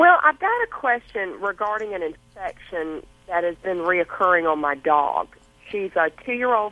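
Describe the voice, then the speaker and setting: In a Southern accent, a woman of medium pitch speaks at a moderate pace with lively intonation. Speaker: caller. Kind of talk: call-in question. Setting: phone call.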